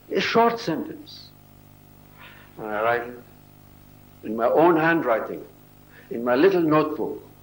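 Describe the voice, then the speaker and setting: A man speaks at a fairly slow pace with long, frequent pauses. Audible room echo surrounds his voice. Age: 80s+. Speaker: religious speaker. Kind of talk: talk to an audience.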